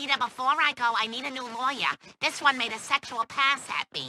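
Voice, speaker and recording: This is a cartoonish character voice. It moves along at a fairly quick pace. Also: female-sounding voice, high pitch for a woman. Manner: exasperated, scolding.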